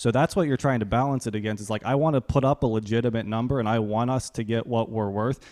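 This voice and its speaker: The sound is dry and close with no echo against a quiet background. The intonation stays fairly even. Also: man. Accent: American. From Pittsburgh area, US. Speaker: creative director and design firm partner. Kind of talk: casual interview.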